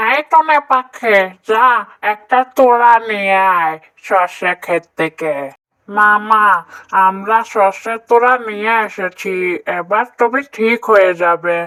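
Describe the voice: A female-sounding voice performs a cartoonish character voice at medium pitch. The pace is very slow.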